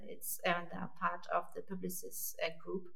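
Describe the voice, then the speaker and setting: Moderately paced talk from a woman amid audible room echo and noticeable background noise. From France. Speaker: online marketing lead. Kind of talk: casual chat.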